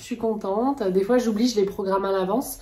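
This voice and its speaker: Noticeable background noise sits under the recording. A woman with a fairly high pitch talks at a fairly quick pace. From France. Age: 30s. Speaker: plant YouTuber. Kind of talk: casual vlog talk. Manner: soft-spoken; hesitant, many fillers.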